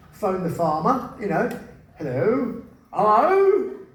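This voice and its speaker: Noticeable background noise beneath a voice with very wide pitch swings. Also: man. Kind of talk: live spoken word storytelling. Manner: humorous, anecdotal.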